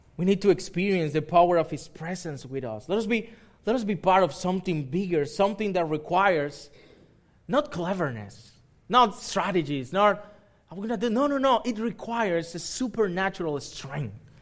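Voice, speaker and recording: In a Spanish accent, a man speaks at a moderate pace with a high pitch and lively intonation. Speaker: pastor. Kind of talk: sermon. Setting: church. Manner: halting.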